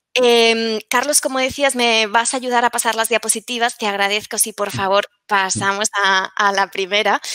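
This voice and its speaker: A woman's bright, sharp voice, with fairly even intonation and hardly any pauses, has a dry, close sound with no echo. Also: moderate pace. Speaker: researcher presenting a study. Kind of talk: academic conference talk. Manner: halting, many fillers and repetitions.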